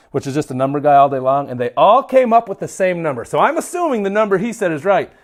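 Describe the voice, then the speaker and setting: A man with a Minnesotan accent, animated and very fast, over a quiet background. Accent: Minnesotan, mild. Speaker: livestreamer, grip strength trainer. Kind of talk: casual livestream chat. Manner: high energy.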